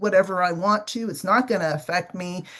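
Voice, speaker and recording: With an unremarkable speaking voice, a woman talks at a moderate pace. Her intonation stays fairly even. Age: 60s. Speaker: business owner living with type 2 diabetes. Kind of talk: podcast interview.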